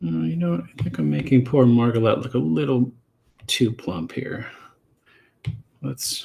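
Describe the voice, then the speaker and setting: A man speaks at a moderate pace in a medium-pitched, dark, mellow voice. His pitch swings very widely, and he takes long, frequent pauses. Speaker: comic artist and streamer. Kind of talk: casual live stream chat while drawing. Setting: live stream at drawing desk. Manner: soft-spoken; halting, many fillers and repeats.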